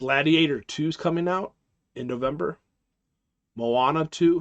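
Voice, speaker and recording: With a dry, close sound, no echo, and a quiet background, a man speaks at a fairly slow pace with ordinary pitch variation. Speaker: live stream host. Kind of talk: casual live stream chat. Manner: halting, many fillers.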